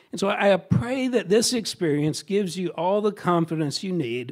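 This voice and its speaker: This man speaks at a moderate pace with lively intonation. The recording is very clean, with a silent background. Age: 60s. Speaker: teacher. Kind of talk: speech. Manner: halting.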